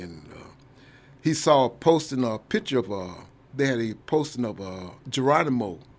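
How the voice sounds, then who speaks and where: Lively intonation marks a man's speech in an Oklahoma accent. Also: big swings in loudness. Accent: Oklahoma Southern American. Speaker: army veteran. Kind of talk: radio interview. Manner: halting.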